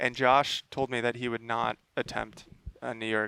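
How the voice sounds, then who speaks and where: At a fairly slow pace, a man with a medium pitch and a bright, sharp tone speaks in a dry, close sound with no echo. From US West Coast. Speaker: podcast host. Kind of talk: casual chat.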